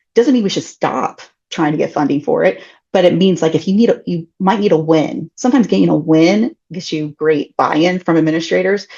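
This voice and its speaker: With a dark, mellow tone and fairly low pitch, a woman talks at a fairly quick pace with lively intonation. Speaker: collections care consultant. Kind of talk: webinar presentation. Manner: fast.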